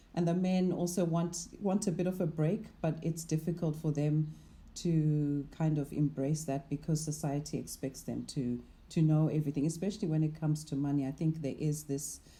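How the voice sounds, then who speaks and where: A woman speaks at a moderate pace in a very deep, low voice that is somewhat breathy, with a dark, mellow tone. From Zimbabwe. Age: 40s. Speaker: investment manager. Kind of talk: interview conversation.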